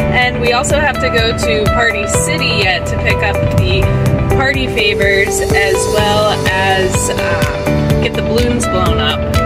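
Over loud music in the background, a woman speaks at a fairly slow pace. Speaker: parent vlogger. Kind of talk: casual vlog chat. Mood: slightly anxious, chatty. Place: car. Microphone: phone near.

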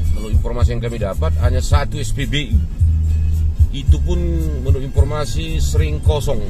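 Loud music plays in the background as a man talks at a moderate pace, his voice dry with no echo. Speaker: road trip vlogger. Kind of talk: travel commentary. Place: car. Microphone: phone near.

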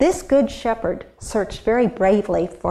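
What you hear is a natural reading voice.

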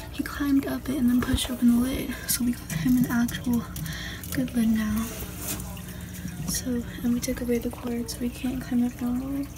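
Someone whispers with long, frequent pauses. Noticeable background noise runs underneath. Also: woman, moderate pace. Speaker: pet owner. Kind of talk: casual talk to camera, pet care vlog. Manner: whispered. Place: home room. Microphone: phone near.

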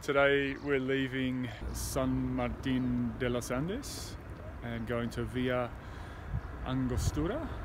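Loud background noise surrounds a man speaking at a very slow pace. The sound itself is dry, with no echo. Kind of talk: casual vlog chat. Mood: upbeat, looking forward. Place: waterside. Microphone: phone near.

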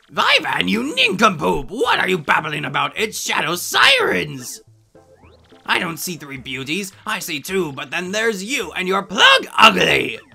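A put-on character voice from a man, high-pitched, fairly slow, with a bright, sharp tone, vocal fry, very wide pitch swings and faint music in the background.

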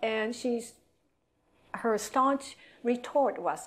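A woman with a Japanese accent, at a very slow pace. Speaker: atomic bomb survivor and hospital employee. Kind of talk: lecture. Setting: stage with audience. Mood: earnest, reflective. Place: classroom.

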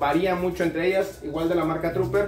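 A man speaks at a high pitch and a fairly quick pace. His intonation stays fairly even.

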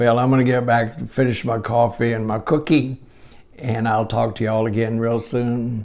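At a moderate pace, a man talks with flat, monotone intonation. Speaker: vlogger. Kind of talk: casual vlog chat. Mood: cheerful, reminiscing, laughing. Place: kitchen. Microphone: phone near.

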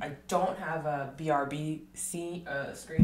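With an American accent, a woman speaks at a very deep, low pitch and fairly even intonation, amid noticeable background noise and audible room echo. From Texas. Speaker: art streamer and art teacher. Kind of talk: casual livestream chat while drawing. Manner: rambling, laughs often. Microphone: quiet, varying distance to mic.

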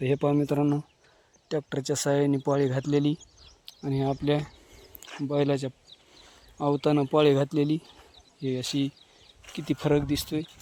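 A man with a dark, mellow tone and fairly high pitch speaks in a monotone, flat way at a moderate pace, leaving long, frequent pauses.

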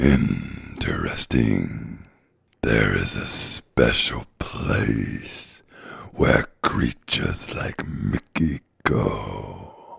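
A man's very slow, raspy put-on character voice at a very deep, low pitch

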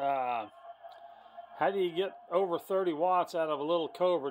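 A high-pitched man at a fairly quick pace, with ordinary pitch variation and light background noise. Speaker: CB radio hobbyist. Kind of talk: casual show-and-tell report to a radio tech. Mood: excited, amazed. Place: home room. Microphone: phone near.

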